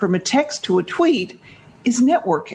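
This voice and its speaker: With an American accent, a woman talks at a fairly slow pace in a fairly high pitch. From Canada. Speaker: networking expert and author. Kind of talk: interview conversation.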